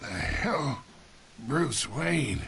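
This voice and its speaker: A man's raspy put-on character voice at medium pitch with very wide pitch swings, over clear background noise. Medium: cartoon. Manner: gruff, knowing, insinuating.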